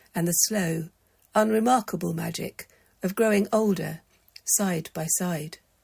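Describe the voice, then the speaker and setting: A woman of medium pitch speaks at a fairly slow pace with a calm, soothing, somewhat breathy tone. Her intonation is fairly even, on a very clean recording with a silent background. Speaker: storyteller. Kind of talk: bedtime story reading.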